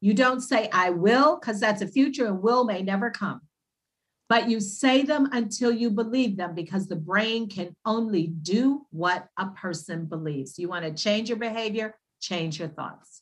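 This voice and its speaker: A woman's somewhat breathy, medium-pitched voice with an American accent, lively intonation and a moderate pace. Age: 60s. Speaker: naturopath. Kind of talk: casual interview.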